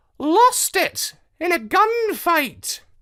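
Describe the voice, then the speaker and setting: A put-on character voice at an extremely high pitch with very wide pitch swings. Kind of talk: casual, wisecracking. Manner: sassy.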